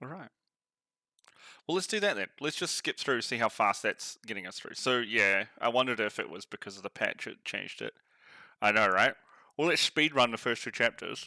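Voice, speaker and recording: In a New Zealand accent, the speaker uses a bright, sharp tone and lively intonation at a moderate pace, with long, frequent pauses and big swings in loudness, all recorded dry and close with no echo. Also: man, medium pitch for a man. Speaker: game streamer. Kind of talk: live gameplay commentary. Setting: live stream. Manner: animated.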